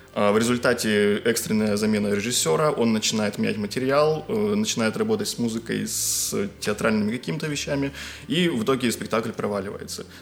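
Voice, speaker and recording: Medium pitch from a man, with noticeable background noise. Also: ordinary pitch variation, fairly quick pace. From Karelia, Russia. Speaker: musicologist, graduate student. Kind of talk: casual chat.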